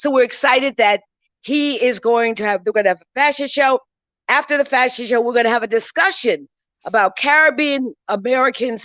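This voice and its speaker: A woman's high, animated voice, fairly quick, with ordinary pitch variation in a dry, close sound with no echo. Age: 60s. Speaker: community organizer and magazine publisher. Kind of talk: live interview at a festival. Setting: on stage at a library event.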